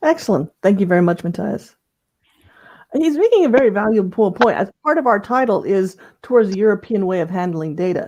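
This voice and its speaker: A normal speaking voice with an American accent moves at a fairly quick pace. Its intonation is lively, and the background is quiet. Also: woman, medium pitch for a woman. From Belgium. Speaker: panel moderator. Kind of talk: panel discussion.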